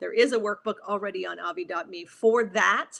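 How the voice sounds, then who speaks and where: A woman's medium-pitched voice with vocal fry and an animated tone, at a moderate pace. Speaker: business coach. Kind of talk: solo livestream talk.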